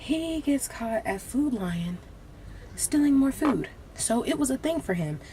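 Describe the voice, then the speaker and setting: A woman with a high-pitched voice speaks fairly slowly, her pitch swinging very widely. Background noise is noticeable. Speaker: beauty vlogger. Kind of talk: casual storytime while doing makeup. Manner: casual, filler-heavy.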